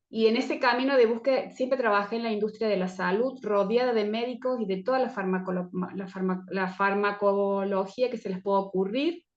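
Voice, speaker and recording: Using an ordinary speaking voice, a woman talks at a fairly quick pace with hardly any pauses. Her pitch varies in an ordinary way. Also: medium pitch for a woman. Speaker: herbal medicine teacher. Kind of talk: online presentation talk. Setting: video call.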